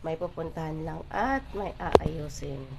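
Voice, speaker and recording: A woman speaks over noticeable background noise. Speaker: vlogger. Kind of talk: travel vlog. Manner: casual, chatty.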